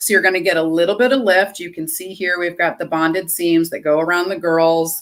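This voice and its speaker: A woman's animated, medium-pitched voice on a very clean recording with a silent background. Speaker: lingerie stylist. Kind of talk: live sales demo. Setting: livestream.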